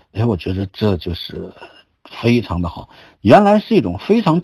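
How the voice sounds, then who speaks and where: Over a quiet background, a man speaks at a moderate pace, somewhat breathy, with very wide pitch swings. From China, Shandong (Zibo). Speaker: qigong teacher and cancer survivor. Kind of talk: lecture. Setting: online group talk. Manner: halting.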